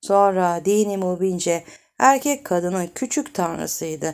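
With a normal speaking voice, a woman talks at a fairly slow pace and with lively intonation on a very clean recording with a silent background. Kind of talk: audiobook reading of a novel, read aloud. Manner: expressive narrator, voicing the dialogue of different characters.

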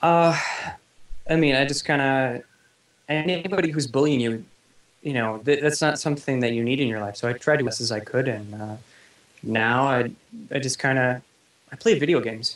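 In a room with audible echo, a man of medium pitch talks at a moderate pace, his pitch varying in an ordinary way and his speech broken by long, frequent pauses. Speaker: website founder. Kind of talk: interview. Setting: online call. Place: home room. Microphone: video call.

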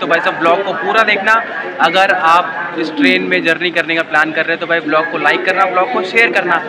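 Loud background noise surrounds a man speaking. He keeps a moderate pace. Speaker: train travel vlogger. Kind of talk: casual vlog chat. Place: station. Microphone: phone near.

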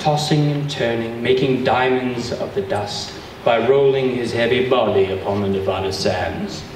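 A man speaks at a fairly slow pace amid light background noise and audible room echo. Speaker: event host giving an introduction. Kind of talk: humorous prepared reading. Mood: playful, mock-dramatic. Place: hall. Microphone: camera far.

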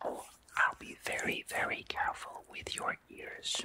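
Soft-spoken whispering with a soothing tone, a very slow pace and light background noise. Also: man. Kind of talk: soft spoken roleplay. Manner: soft soothing whisper, reassuring. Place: home room.

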